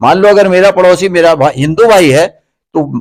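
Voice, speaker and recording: Pitch moves in an ordinary way for this speaker. He is a man with a high voice. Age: 70s. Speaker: mayoral candidate. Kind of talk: interview.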